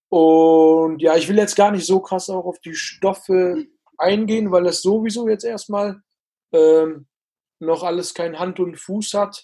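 Very slow speech comes from a man with a high pitch and a dark, mellow tone. His intonation is fairly even. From Ruhr area, Germany (Bottrop). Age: 20s. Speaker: actor. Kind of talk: interview.

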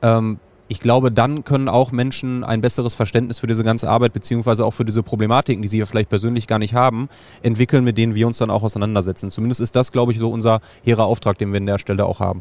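Speaking at a very fast pace, a man delivers his words in a flat monotone. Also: medium pitch for a man. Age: 30s. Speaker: football fan legal aid volunteer. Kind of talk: casual interview. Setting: outdoors in a football stadium stand.

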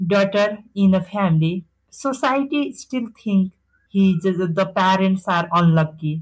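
Her voice somewhat breathy, a woman speaks at a fairly slow pace and a medium pitch with ordinary pitch variation. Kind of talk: interview. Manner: halting.

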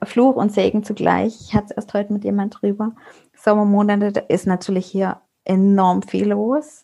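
A woman's dark, mellow voice at medium pitch, monotone and flat, at a moderate pace. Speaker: network marketer, mother. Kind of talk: casual interview. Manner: hesitant fillers.

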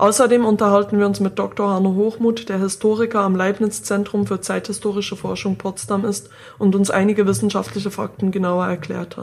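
A woman speaks at a medium pitch and a fairly quick pace, somewhat breathy, with fairly even intonation and hardly any pauses. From Switzerland. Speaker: podcast host. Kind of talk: scripted narration.

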